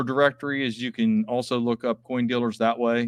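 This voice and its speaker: A man speaks with an Appalachian accent. His pitch varies in an ordinary way. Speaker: coin dealer. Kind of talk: live stream chat and auction. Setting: live video stream from coin shop.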